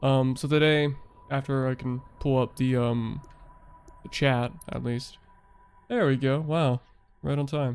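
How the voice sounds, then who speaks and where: Speaking at a fairly slow pace with monotone, flat intonation, a man leaves long, frequent pauses. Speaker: gaming streamer. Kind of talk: live stream gameplay chat. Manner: casual, hesitant with fillers.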